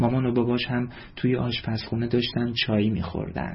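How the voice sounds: The voice heard here is a natural reading voice.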